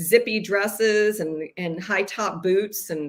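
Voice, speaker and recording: A woman's medium pitch varies in an ordinary way in what is an unremarkable speaking voice. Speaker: business founder. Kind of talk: casual chat.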